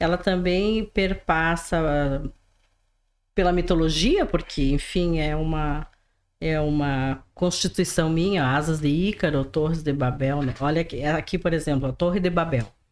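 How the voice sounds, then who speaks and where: In a strong rural gaúcho accent, a woman with a very deep, low pitch talks at a fairly slow pace. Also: ordinary pitch variation. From interior of Rio Grande do Sul, Brazil. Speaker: writer and teacher. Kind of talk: podcast interview. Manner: halting, repeats words.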